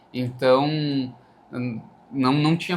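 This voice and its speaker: This is a man talking. His intonation is fairly even. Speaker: band bassist. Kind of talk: casual chat.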